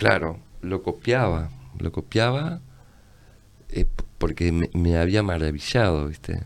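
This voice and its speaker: A man speaks at a very slow pace with long, frequent pauses. His pitch is very deep and low, yet his intonation is lively. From Uruguay, Tacuarembó. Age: 60s. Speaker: visual artist and publisher. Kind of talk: casual interview chat.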